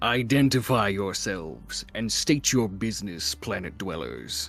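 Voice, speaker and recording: Over clear music in the background, a man uses a put-on character voice, loud and booming, with an Australian-free delivery at a moderate pace. The voice is fairly low. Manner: commanding, demanding identification.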